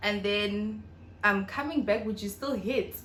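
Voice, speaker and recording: There is audible room echo in this clip. A woman speaks at a moderate pace in a fairly high pitch. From South Africa, North West. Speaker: YouTuber. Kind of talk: casual vlog Q&A.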